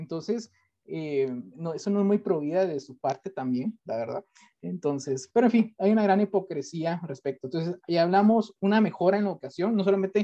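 High for a man, the voice has a dark, mellow tone and lively intonation at a fairly quick pace, with a dry, close sound and no echo. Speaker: podcast host. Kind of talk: casual chat.

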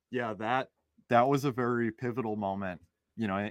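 Recorded dry and close with no echo, a normal speaking voice with an American accent keeps a moderate pace and fairly even intonation. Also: man. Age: 20s. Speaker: real estate investor. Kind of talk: interview.

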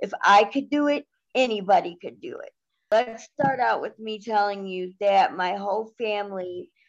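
With an American accent, a woman with an unremarkable speaking voice talks at a fairly slow pace and a medium pitch, with ordinary pitch variation. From Cleveland, Ohio. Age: 30s. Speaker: guest, recovery advocate. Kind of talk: personal story interview.

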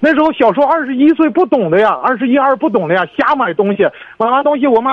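A man's extremely high voice at a very fast pace, with lively intonation. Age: 20s. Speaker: caller, security guard. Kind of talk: phone call-in. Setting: phone call. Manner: halting, rambling.

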